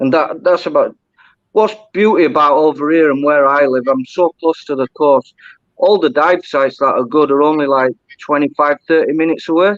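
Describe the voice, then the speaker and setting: In a Yorkshire accent, a man with a fairly high pitch speaks at a moderate pace, with ordinary pitch variation and very even loudness. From Yorkshire, northern England. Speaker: diver. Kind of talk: casual chat.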